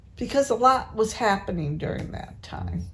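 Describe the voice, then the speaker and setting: A woman speaks with an American accent and a fairly high pitch. Her voice has vocal fry. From New England, Massachusetts. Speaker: family elder, interviewee. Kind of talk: family interview. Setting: at a family home.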